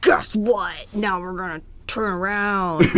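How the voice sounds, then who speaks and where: A woman puts on a character voice at medium pitch. She speaks at a fairly slow pace. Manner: tough, threatening.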